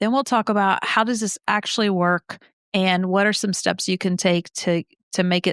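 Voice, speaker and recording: A woman speaks with an unremarkable speaking voice at medium pitch, fairly even intonation and a moderate pace. The recording is very clean with a silent background, dry and close with no echo. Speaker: podcast co-host. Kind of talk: casual chat.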